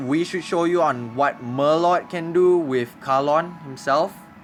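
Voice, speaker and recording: Music plays in the background as a man speaks with an American accent. His fairly high voice moves at a fairly slow pace with fairly even intonation. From Singapore. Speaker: gaming streamer. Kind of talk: live stream gameplay commentary. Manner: casual, halting.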